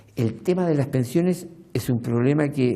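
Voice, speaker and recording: A man speaks with lively intonation and a fairly high pitch. His voice is somewhat breathy, with a dark, mellow tone. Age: 70s. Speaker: documentary interviewee. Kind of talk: interview.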